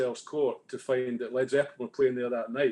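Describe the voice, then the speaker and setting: With a Scottish accent, a man of medium pitch speaks at a moderate pace with fairly even intonation. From Scotland. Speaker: music fan panelist. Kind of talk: casual chat. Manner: halting.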